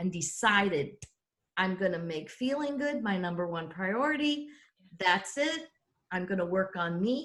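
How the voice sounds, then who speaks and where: A woman with a somewhat breathy voice speaks at a fairly slow pace, her pitch swinging very widely. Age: 60s. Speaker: life coach and show host. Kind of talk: casual chat. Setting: video call.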